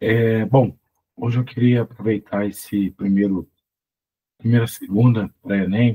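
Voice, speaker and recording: A man with a dark, mellow tone and a medium pitch speaks somewhat breathily at a fairly slow pace, with fairly even intonation. Long, frequent pauses break his speech, and the sound is dry and close with no echo. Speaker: physics teacher. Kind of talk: tutorial. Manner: casual, conversational.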